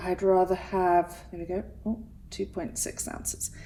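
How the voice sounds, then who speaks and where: Speaking with an English accent at a fairly slow pace, a woman with a medium-pitched voice is heard over noticeable background noise. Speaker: resin artist. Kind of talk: tutorial. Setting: home studio. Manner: casual, chatty.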